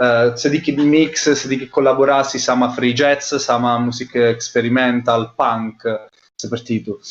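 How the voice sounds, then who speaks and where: A man with an Italian accent speaks at medium pitch with fairly even intonation. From Italy. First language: Italian (speaking Indonesian). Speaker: anthropologist researcher. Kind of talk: interview. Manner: halting, many fillers.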